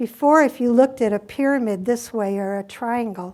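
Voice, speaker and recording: A woman's plain, everyday voice, fairly high in pitch, with ordinary pitch variation and a moderate pace. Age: 60s. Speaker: hospice nurse. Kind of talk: conference talk.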